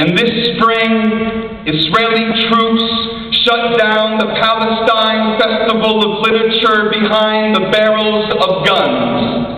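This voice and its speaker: A man with a high pitch talks at a very slow pace in a monotone, flat intonation with very even loudness. Noticeable background noise sits behind him. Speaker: poet. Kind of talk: spoken word poetry performance.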